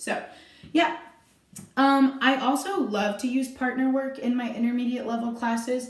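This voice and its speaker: Loud and high-pitched, a woman talks at a moderate pace with audible room echo. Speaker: dance teacher. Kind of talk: tutorial. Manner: animated.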